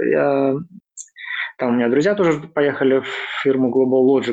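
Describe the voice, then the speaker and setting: This man has a plain, everyday voice and speaks at a moderate pace. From Belarus. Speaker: software developer.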